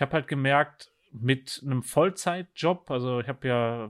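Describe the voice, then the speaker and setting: A man's voice, medium in pitch, carries ordinary pitch variation and moves at a moderate pace. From Germany. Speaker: ultra-cyclist. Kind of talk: casual interview. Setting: remote call.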